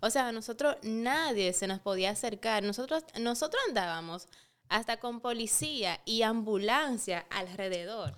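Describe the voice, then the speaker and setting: A woman with an ordinary speaking voice, fairly high pitch, lively intonation and a fairly slow pace. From Dominican Republic (San Francisco de Macorís). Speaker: beauty pageant titleholder and model. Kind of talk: casual interview chat.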